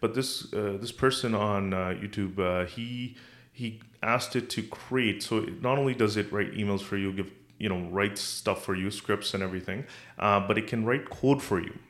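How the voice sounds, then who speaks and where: Here a man has a normal speaking voice with a fairly low pitch, fairly even intonation and a moderate pace. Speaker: podcast host. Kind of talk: casual chat.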